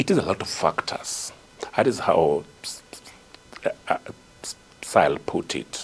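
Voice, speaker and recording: A man whispers, leaving long, frequent pauses. Noticeable background noise sits behind him. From Kenya. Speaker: hydrogeologist and author. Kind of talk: interview answer.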